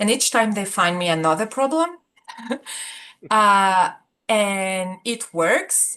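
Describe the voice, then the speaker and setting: In a French accent, a woman at medium pitch speaks very slowly with long, frequent pauses, her tone bright and sharp and her intonation lively. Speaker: support group participant. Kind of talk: casual talk about a personal problem. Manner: hesitant, many fillers.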